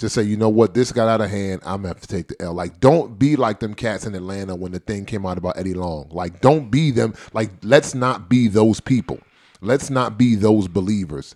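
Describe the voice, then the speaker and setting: This man has an ordinary speaking voice at a fairly low pitch with ordinary pitch variation. He talks at a fairly quick pace, with big swings in loudness. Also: very clean recording, silent background. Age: 30s. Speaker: podcast host. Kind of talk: casual chat.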